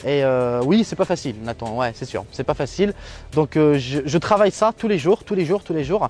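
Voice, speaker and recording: Over music in the background, a man speaks at a fairly high pitch with very wide pitch swings. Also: moderate pace. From Algeria. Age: 20s. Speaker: tech YouTuber. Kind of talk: interview. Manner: hesitant, many fillers.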